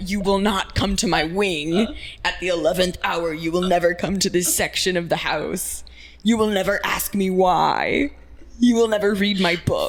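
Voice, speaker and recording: In a put-on character voice at a middle pitch, the speaker moves at a moderate pace. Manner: gruff, commanding.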